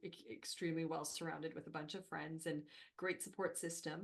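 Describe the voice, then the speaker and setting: In a French Canadian accent, a woman speaks at a fairly quick pace with a fairly low pitch and ordinary pitch variation. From Northern Ontario, French Canadian. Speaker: HR consultant and company founder. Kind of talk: podcast interview.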